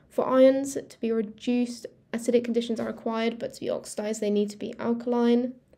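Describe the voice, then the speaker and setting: Speaking at a very fast pace with a British accent, a woman has a fairly high pitch, a dark, mellow tone and monotone, flat intonation. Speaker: student revision youtuber. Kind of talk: tutorial. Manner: halting, with fillers and self-corrections.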